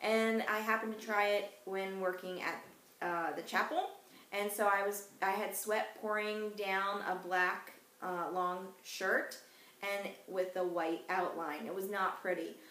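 With noticeable noise behind her, a woman speaks fairly slowly at a medium pitch in a flat monotone. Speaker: essential oils class instructor. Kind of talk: educational class presentation. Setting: home recording with puppies barking.

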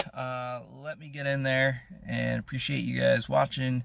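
At a fairly slow pace, a man speaks with a dry sound that has no echo. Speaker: fitness vlogger. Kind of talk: casual vlog chat. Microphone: phone near.

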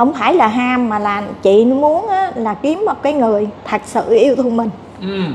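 With lively intonation and a high pitch, a woman talks at a fairly slow pace over light background noise. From southern Vietnam. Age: 50s. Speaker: scam victim seeking help; interviewee. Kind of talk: interview testimony. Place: cafe. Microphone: lapel.

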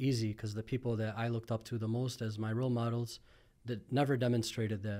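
A man rushes along at a very fast pace with a dark, mellow tone and monotone, flat intonation, the background quiet. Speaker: podcast guest. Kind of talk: interview answer. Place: studio. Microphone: studio mic.

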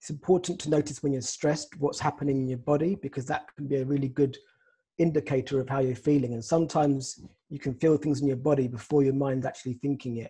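Somewhat breathy and dark, mellow in tone, a man talks at a very fast pace with fairly even intonation against a quiet background. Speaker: psychotherapist. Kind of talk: guided meditation. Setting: video call. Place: home room. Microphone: video call.

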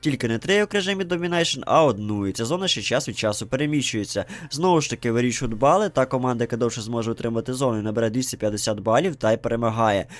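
A man talks at a very fast pace with hardly any pauses, his medium-pitched voice carrying lively intonation. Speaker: gaming youtuber. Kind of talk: game review narration.

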